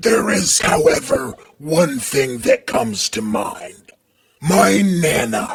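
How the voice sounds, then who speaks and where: In a put-on character voice, a man speaks very slowly in a raspy, fairly high pitch with very wide pitch swings. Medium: read story. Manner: calm, measured.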